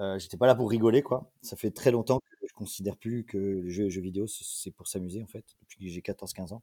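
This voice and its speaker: A man's dark, mellow voice, fairly low in pitch, at a moderate pace with hardly any pauses, fairly even intonation and big swings in loudness, in a dry, close sound with no echo. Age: 30s. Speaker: esports team co-owner and entrepreneur. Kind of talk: interview.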